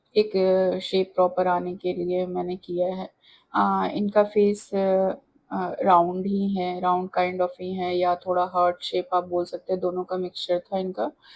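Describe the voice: A woman's fairly low voice with a slightly mellow tone, monotone, flat intonation and a fairly slow pace.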